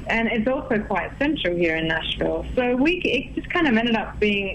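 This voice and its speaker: A woman speaks at a moderate pace in a strong Australian accent. The recording has audible room echo and noticeable background noise. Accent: Australian, thick. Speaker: singer-songwriter. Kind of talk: radio interview.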